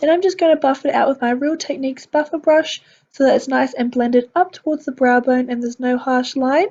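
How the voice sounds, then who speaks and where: At a fairly quick pace, a woman with an Australian accent and a high pitch speaks with ordinary pitch variation. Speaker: beauty vlogger. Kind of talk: tutorial voiceover. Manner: speaking carefully and clearly.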